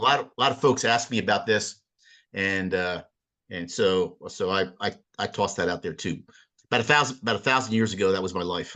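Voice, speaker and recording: Against a quiet background, a man with a Philadelphia accent speaks at a fairly quick pace. His fairly low voice has a bright, sharp tone and ordinary pitch variation. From Philadelphia, US. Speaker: sailing instructor. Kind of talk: presentation. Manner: fast; slurred.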